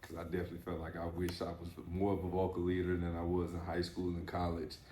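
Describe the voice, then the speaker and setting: A man with a very deep, low pitch, very fast and monotone, flat in intonation, with audible room echo. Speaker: podcast host, former athlete. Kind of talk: casual interview chat. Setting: barber shop.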